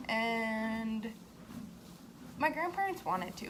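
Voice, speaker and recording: Noticeable background noise runs beneath a woman whose voice is fairly high. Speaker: horse rider. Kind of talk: casual talk to camera. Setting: outdoors.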